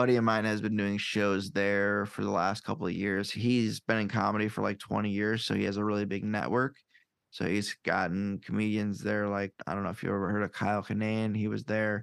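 In a Midwestern US accent, a man speaks at a fairly quick pace with a fairly low pitch. His intonation is monotone and flat, and the recording is very clean with a silent background. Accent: US Midwest. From Iowa, Quad Cities. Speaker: podcaster and stand-up comedian. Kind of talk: casual chat.

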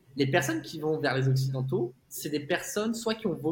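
A man speaks in a plain, everyday voice at a fairly quick pace, his pitch fairly high and his intonation lively. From France. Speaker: tech sales executive, expatriate. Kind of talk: casual interview chat.

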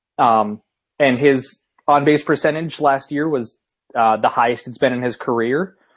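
A man with a plain, everyday voice and an American accent speaks at a medium pitch and a moderate pace, with fairly even intonation. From US Northeast. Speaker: sports podcast host. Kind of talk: casual chat.

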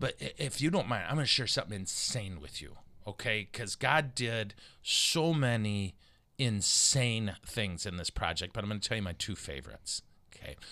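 A man with an American accent speaks at a moderate pace and fairly low pitch, his tone animated, bright and sharp with vocal fry, on a very clean recording with a silent background. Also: lively intonation. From Michigan. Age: 50s. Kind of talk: casual chat.

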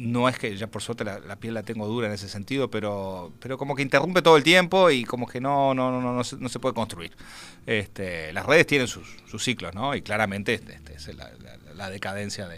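A man at a medium pitch speaks at a fairly quick pace with lively intonation and big swings in loudness. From Uruguay, Montevideo. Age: 50s. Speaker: game designer and writer. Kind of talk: interview. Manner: halting, many fillers.

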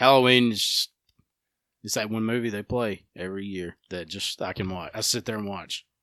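A fairly low-pitched man's voice, bright and sharp in tone, with a Southern US accent, a moderate pace, fairly even intonation and a dry, close sound with no echo. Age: 20s. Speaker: podcast host. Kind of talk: casual chat.

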